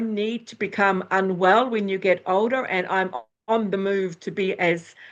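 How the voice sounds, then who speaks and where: An ordinary speaking voice from a woman, medium-pitched and fairly slow, with fairly even intonation over a quiet background. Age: 60s. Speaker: astrologer and former nurse. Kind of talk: interview.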